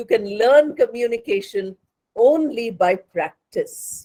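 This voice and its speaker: The voice has a dark, mellow tone and comes with a Bengali accent. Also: woman. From India, Hyderabad. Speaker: English communication lecturer. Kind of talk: lecture.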